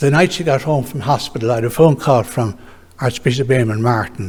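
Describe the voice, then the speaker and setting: A man talks with an Irish accent at a moderate pace. His voice is somewhat breathy. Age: 80s+. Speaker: retired orthopaedic surgeon. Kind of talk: memorial lecture.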